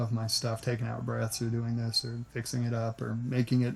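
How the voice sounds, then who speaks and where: With music playing behind him, a man with an American accent talks at a moderate pace in a relaxed tone. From US South, Nashville. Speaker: voice actor. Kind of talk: interview. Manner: relaxed, conversational; halting, many restarts.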